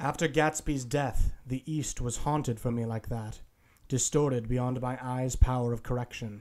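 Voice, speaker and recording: A man's medium-pitched voice, an unremarkable speaking voice, with fairly even intonation and a moderate pace, on a very clean recording with a silent background. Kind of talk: dramatic reading of a novel. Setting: home recording.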